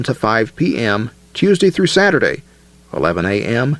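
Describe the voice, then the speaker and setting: With a fairly slow pace, a man talks through vocal fry. His pitch swings very widely. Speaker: reader of old article. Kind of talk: reading aloud.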